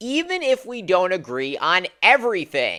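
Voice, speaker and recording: A woman speaks at a fairly slow pace in a bright, sharp tone, her fairly high pitch carrying some vocal fry. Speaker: political commentator. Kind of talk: political commentary to camera.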